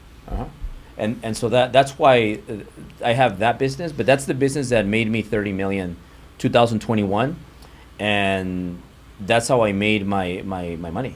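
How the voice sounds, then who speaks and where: Delivered at a moderate pace in a Spanish accent, the speech has ordinary pitch variation and long, frequent pauses. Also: man, fairly low pitch for a man. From US, Mexican-American family. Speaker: real estate and mortgage entrepreneur. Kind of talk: interview conversation.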